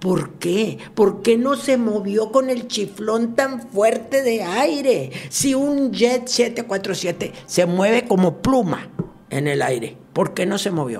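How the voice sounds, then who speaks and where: A woman speaks at a very slow pace with medium pitch and very wide pitch swings. Noticeable background noise is present. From Monterrey, Mexico. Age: 70s. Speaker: TV presenter and producer. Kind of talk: casual interview storytelling.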